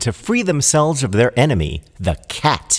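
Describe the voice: With big pitch swings, a man talks in a medium pitch at a moderate pace.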